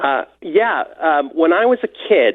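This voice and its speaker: Here a man is talking. His intonation is lively. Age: 60s. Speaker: caller. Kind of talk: phone-in call to radio show. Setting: phone call.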